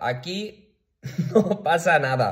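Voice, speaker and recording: A somewhat breathy man over a quiet background. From Valencia region, Spain (Picanya, L'Horta Sud). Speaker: video blogger. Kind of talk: personal rant to camera. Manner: animated, with frequent fillers and repetitions. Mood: worried, indignant, upset. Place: home room. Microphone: phone near.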